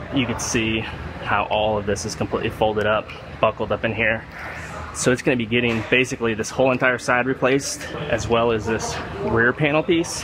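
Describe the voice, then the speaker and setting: A man at a fairly quick pace with fairly even intonation, over noticeable background noise. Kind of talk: casual tutorial commentary. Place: workshop. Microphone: phone near.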